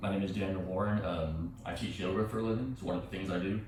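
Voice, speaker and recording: A man's very deep, low voice with fairly even intonation, audible room echo and noticeable background noise. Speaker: yoga instructor. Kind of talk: guided yoga class. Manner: halting.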